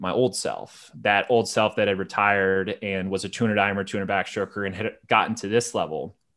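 A man with a plain, everyday voice, fairly low pitch and fairly even intonation, on a very clean recording with a silent background. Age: 30s. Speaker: swimmer and swim coach. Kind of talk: casual chat.

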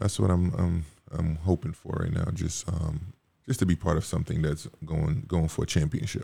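A man with a very deep, low pitch and a dark, mellow tone speaks at a moderate pace, somewhat breathy, with ordinary pitch variation. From Caribbean, Montserrat. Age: 30s. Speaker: professional basketball player. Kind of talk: casual chat. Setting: studio.

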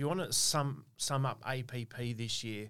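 A man's fairly even intonation comes through on a very clean recording with a silent background. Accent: Australian. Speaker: pharmacy owner and podcast host. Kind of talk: casual chat. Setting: studio. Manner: loud.

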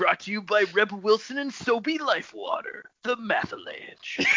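The speaker uses a put-on character voice with a fairly high pitch at a moderate pace. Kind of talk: advertising voiceover.

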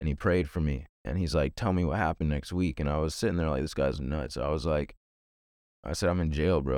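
Fairly quick speech with an American accent, vocal fry, ordinary pitch variation and very even loudness comes through on a very clean recording with a silent background. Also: man. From Virginia, US. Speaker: evangelist and peer recovery specialist. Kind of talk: testimony.

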